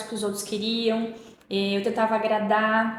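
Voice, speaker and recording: Audible room echo and noticeable background noise around a woman with a fairly high pitch and a moderate pace. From Paraná, southern Brazil. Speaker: podcast guest. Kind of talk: interview conversation. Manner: animated, expressive.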